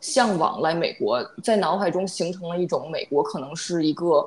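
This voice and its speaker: An ordinary speaking voice at a moderate pace. The pitch varies in an ordinary way. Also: woman. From China, Beijing. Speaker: podcast co-host, data worker. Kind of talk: casual chat.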